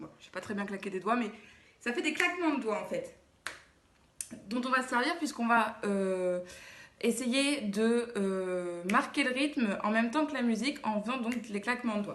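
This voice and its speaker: A woman speaks at a fairly high pitch with lively intonation and a moderate pace. Her pauses are long and frequent. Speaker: dance teacher. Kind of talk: tutorial.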